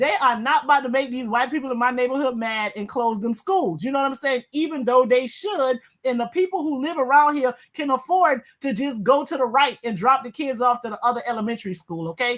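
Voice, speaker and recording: With hardly any pauses, a woman talks at a fairly quick pace in a high voice, her tone animated and her intonation lively. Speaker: guest co-host, attorney. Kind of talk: heated panel debate. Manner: fast.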